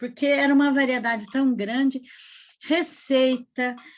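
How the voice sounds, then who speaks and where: A woman speaks at a high pitch. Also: quiet background. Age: 70s. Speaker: retired teacher, writer. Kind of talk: personal storytelling in group chat.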